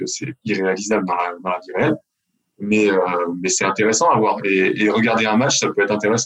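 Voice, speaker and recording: A man with a plain, everyday voice talks at a fairly quick pace in a fairly low pitch. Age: 40s. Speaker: retired pro basketball player, sports event organizer. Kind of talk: interview.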